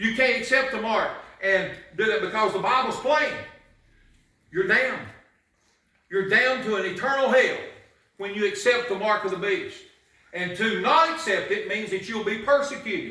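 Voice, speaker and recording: With audible room echo, a man in a raised, projected voice speaks at a high pitch with ordinary variation and long, frequent pauses. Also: moderate pace. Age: 60s. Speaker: pastor. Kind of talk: sermon. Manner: animated.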